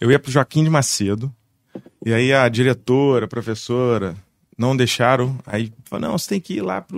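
A man with an ordinary speaking voice, medium pitch and moderate pace, in a dry, close sound with no echo. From Barra do Piraí, Rio de Janeiro state, Brazil. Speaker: musician and music producer. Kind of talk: casual chat.

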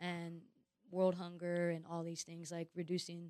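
A woman speaks at a fairly low pitch in a monotone, flat way. The sound is dry and close, with no echo. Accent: American. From East Los Angeles, US. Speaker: musician and rapper. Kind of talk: casual interview chat. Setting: studio.

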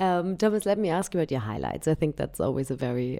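With vocal fry and a very deep, low pitch, a woman speaks at a fairly quick pace in a warm, dark, mellow tone with very wide pitch swings. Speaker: podcast host. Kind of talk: interview. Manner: warm, laughs often.

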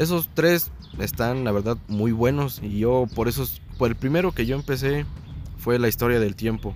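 A man speaks at a moderate pace with medium pitch and lively intonation. He has a plain, everyday voice. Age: 20s. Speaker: science enthusiast guest. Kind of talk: casual chat.

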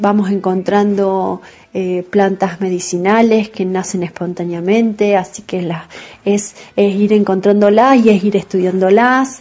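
Her tone dark and mellow, a woman speaks at a medium pitch and a fairly slow pace with fairly even intonation. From southern Córdoba, Argentina. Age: 40s. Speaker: farmer. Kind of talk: testimony.

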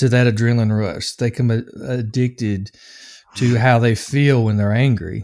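A man with a slight Southern US accent speaks at medium pitch and a moderate pace. His intonation is fairly even, and the recording is very clean with a silent background. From US South, Nashville, Tennessee. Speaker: anger management coach and addiction counselor. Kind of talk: interview conversation. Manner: hesitant, many filler words.

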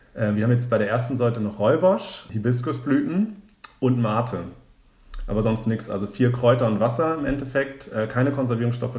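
The speech moves at a fairly quick pace with ordinary pitch variation, and the room echo is audible. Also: man. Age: 20s. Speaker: founder of a drinks start-up. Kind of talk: podcast interview. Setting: in person, sitting opposite the host.

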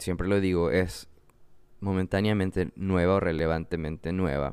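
This man speaks with a very deep, low pitch and fairly even intonation. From Ecuador, Manabí (coast). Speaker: podcast host, graphic designer. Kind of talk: solo podcast monologue. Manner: casual, repetitive fillers.

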